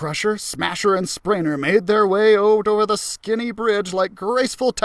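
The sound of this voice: Fairly even intonation runs through an unforced reading voice.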